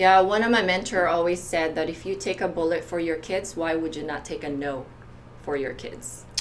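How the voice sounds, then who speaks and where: There is audible room echo as a woman speaks at a moderate pace in a fairly low pitch with ordinary pitch variation. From outside the US. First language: not English. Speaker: entrepreneur, guest. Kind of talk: casual chat.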